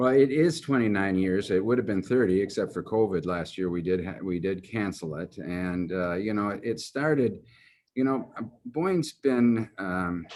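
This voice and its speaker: The intonation is lively, in a Midwestern US accent. The pace is moderate. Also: man, fairly low pitch for a man. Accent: US Midwest. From Germany, raised in Michigan from age four. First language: German. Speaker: golf executive. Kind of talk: interview. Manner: halting, many fillers.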